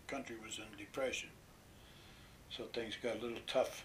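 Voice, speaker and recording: A bright, sharp tone with audible room echo. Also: man. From western Pennsylvania. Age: 80s+. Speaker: war veteran. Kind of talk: oral history interview. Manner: halting.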